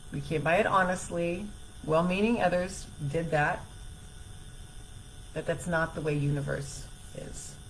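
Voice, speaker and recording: A woman speaks fairly slowly at a fairly low pitch, leaving long, frequent pauses. Her intonation is fairly even, and room echo is audible. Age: 60s. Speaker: self-help coach. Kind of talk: live stream talk.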